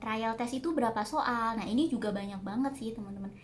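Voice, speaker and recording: A woman speaks with a fairly high, somewhat breathy voice and ordinary pitch variation. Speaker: vlogger. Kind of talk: casual Q&A vlog. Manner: hesitant, many fillers. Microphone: no external microphone, quiet audio.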